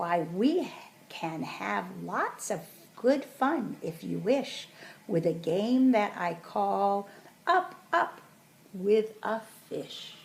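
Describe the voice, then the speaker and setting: Speaking very slowly at a medium pitch, a woman performs a put-on character voice. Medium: read story. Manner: exuberant.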